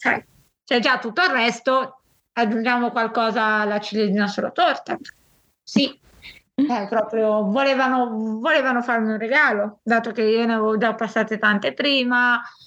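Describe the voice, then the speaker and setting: A woman's bright, sharp tone at a fairly high pitch, fairly slow, very even in loudness, with ordinary pitch variation. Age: 20s. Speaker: volunteer and patient with a rare illness. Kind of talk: interview testimony.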